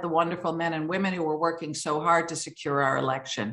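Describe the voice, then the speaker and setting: There is a quiet background behind this woman's speech. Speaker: remote conference speaker. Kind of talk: conference talk. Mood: serious, earnest. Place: home room. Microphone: video call.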